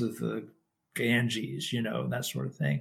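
A man with a West Texas accent speaks at a fairly slow pace. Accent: West Texas American. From Texas (Lubbock). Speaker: Buddhist monk. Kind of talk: casual interview.

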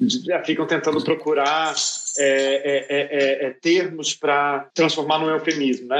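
A man with an unremarkable speaking voice, a fairly high pitch and fairly even intonation. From Brazil. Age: 30s. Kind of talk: online panel debate.

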